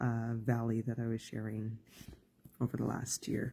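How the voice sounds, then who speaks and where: A man's somewhat breathy voice with a dark, mellow tone, medium pitch and fairly slow pace. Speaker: life coach. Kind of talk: live stream talk. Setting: Facebook live video. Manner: halting.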